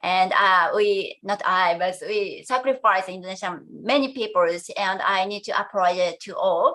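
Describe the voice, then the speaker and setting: With a Japanese accent and a bright, sharp tone, a woman speaks at medium pitch with hardly any pauses. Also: ordinary pitch variation, moderate pace. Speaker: education professor. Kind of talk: conference presentation. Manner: halting, many hesitations.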